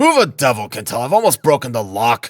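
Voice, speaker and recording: A man's put-on character voice, lively in intonation and fairly quick in pace, dry and close with no echo. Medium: read story. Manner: blustering, cursing.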